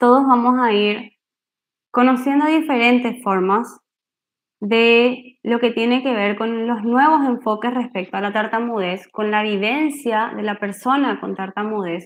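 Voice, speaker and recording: An ordinary speaking voice from a woman, fairly high in pitch, at a fairly slow pace with ordinary pitch variation against a quiet background. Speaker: speech therapist giving a workshop. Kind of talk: online workshop talk. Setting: video call.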